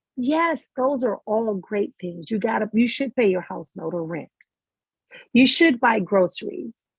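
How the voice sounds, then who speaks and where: A woman's somewhat breathy, fairly high voice with very wide pitch swings at a fairly slow pace, in a dry, close sound with no echo. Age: 50s. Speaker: spiritual life coach. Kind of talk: motivational talk.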